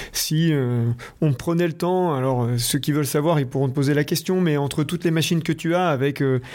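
A man's fairly high voice with a dark, mellow tone, fairly even intonation and a moderate pace. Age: 40s. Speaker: podcast host. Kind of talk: interview.

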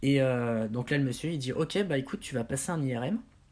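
Recorded very cleanly against a silent background, a man speaks in a fairly high, somewhat breathy voice with ordinary pitch variation. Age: 20s. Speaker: patient with multiple sclerosis, singer. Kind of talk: interview.

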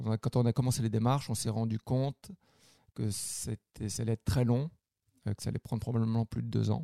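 A man talks at a fairly quick pace with a dark, mellow tone, medium pitch and fairly even intonation. His speech has long, frequent pauses, and the sound is dry and close with no echo. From France. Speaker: cook and podcast co-host. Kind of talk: casual chat. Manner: halting, repeats words.

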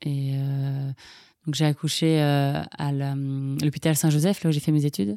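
On a very clean recording with a silent background, a woman speaks at a very slow pace in a very deep, low pitch, her tone dark and mellow and her intonation fairly even. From France, Paris region. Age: 20s. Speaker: nurse and bereaved mother. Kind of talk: personal testimony interview. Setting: at the host's home. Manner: hesitant, many fillers.

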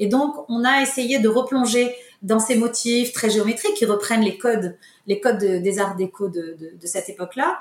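A woman talks at a moderate pace over noticeable background noise. Her voice is fairly high, and its pitch varies in an ordinary way. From Morocco, Casablanca. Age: 50s. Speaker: tile company owner. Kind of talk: interview. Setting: remote recording. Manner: halting.

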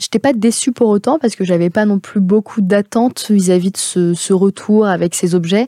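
Her medium-pitched voice has a dark, mellow tone, and the woman speaks at a moderate pace with ordinary pitch variation in a dry, close recording with no echo. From France. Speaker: podcast host. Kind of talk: personal monologue. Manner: hesitant.

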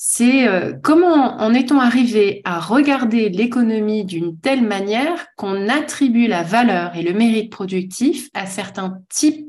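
This woman's fairly high voice is somewhat breathy, with lively intonation. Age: 40s. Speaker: author and speaker on work. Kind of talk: casual interview conversation.

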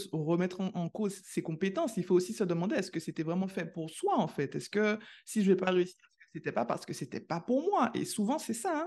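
With an enthusiastic tone and lively intonation, a woman speaks at medium pitch and a moderate pace over a quiet background. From Caribbean. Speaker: podcast host, scientist. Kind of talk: interview.

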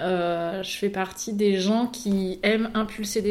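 Against noticeable background noise, a woman talks at a medium pitch with monotone, flat intonation. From Paris region (Yvelines). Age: 30s. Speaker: consultant and trainer, entrepreneur. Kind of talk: casual interview.

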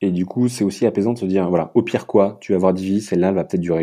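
Against a quiet background, a man with a dark, mellow tone speaks at a very fast pace in a very deep, low pitch. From Paris region, France. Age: 30s. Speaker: ocean activist and comic book writer. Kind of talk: personal testimony interview. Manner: halting, many hesitations.

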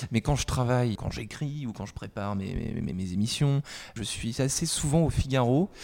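This voice, dark and mellow in tone, keeps a moderate pace with ordinary pitch variation. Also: man. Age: 20s. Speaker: journalist. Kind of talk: interview.

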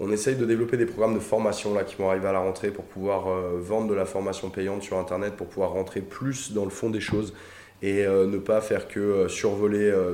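A dark, mellow voice moves at a fairly quick pace in a monotone, flat intonation. Audible room echo surrounds it. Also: man. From Paris suburbs, France. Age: 30s. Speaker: animal YouTuber. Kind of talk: casual interview chat.

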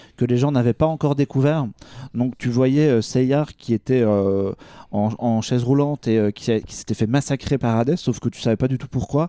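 Medium-pitched male voice, dark and mellow, with ordinary pitch variation at a moderate pace, dry and close with no echo. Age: 30s. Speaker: pop culture writer and podcaster. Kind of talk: casual chat.

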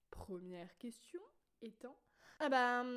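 High pitch defines this woman's voice. It swings very widely. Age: 20s. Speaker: podcaster. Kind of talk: casual monologue. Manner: spontaneous, with fillers.

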